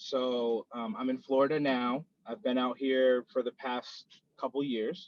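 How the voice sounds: An American accent in a dry, close sound with no echo. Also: man.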